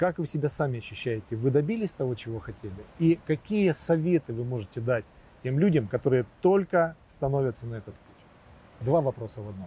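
The man's medium-pitched voice has a dark, mellow tone and is somewhat breathy, with very wide pitch swings and big swings in loudness. He moves at a fairly quick pace, and the sound is dry with no echo. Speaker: interviewer. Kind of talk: interview. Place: garden. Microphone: lapel.

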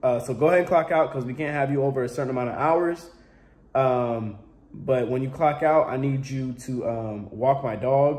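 A man at a moderate pace, pitch varying in an ordinary way. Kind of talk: comedic skit dialogue. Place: home room. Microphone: phone near.

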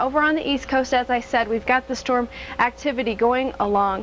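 With music in the background, a woman speaks at a fairly quick pace in a high-pitched voice. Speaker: presenter. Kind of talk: weather forecast. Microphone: lapel.

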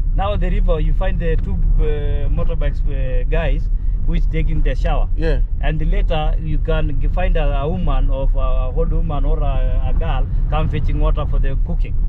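Loud background noise accompanies a man speaking at a moderate pace, with a dry sound and no echo. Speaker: local guide. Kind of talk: conversational explanation to vlogger. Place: car. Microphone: phone near.

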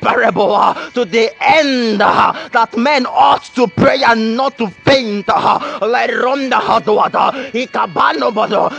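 A man with extremely high pitch at a fairly slow pace, music playing in the background. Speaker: pastor, prayer leader. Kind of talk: sermon-style prayer exhortation mixed with tongues.

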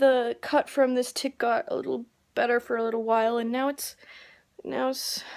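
Against a quiet background, a high-pitched woman speaks at a moderate pace with ordinary pitch variation. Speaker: vlogger. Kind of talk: casual vlog chat. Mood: frustrated, slightly upset. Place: home room. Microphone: phone near.

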